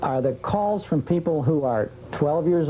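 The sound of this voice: A man with a dark, mellow tone talks at a fairly high pitch with lively intonation.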